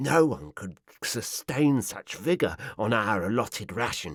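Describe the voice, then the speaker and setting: A man puts on a character voice at a medium pitch, swinging it very widely while keeping a moderate pace. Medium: read story. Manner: fawning, wheedling.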